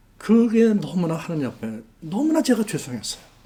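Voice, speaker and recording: Audible room echo trails a man who talks at a very slow speed. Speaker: missionary pastor. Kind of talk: testimony sermon.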